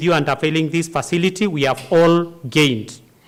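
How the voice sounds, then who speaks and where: A man with an ordinary speaking voice speaks at a moderate pace in a fairly high pitch. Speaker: university associate dean. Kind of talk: vote of thanks speech. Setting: auditorium with audience.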